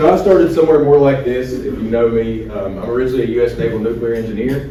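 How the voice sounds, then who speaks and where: In a Southern West Virginia accent, a man talks very fast with ordinary pitch variation, amid noticeable background noise and audible room echo. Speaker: cybersecurity expert and speaker. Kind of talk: business talk to breakfast audience. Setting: breakfast event with live audience. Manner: casual, conversational with audience questions.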